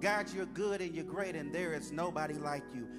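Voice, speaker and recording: A man's voice at a moderate pace over clear background music. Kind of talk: prayer. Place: church. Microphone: handheld.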